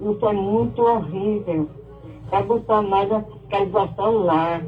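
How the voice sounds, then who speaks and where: The speaker talks at a fairly slow pace with ordinary pitch variation and very even loudness. Noticeable background noise runs underneath. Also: woman, medium pitch for a woman. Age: 70s. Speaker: radio listener caller. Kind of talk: call-in complaint.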